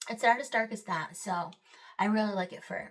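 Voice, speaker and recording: The speaker's voice carries a somewhat breathy quality. She is a woman talking at a moderate pace. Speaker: makeup artist. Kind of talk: tutorial. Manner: casual, filler-heavy.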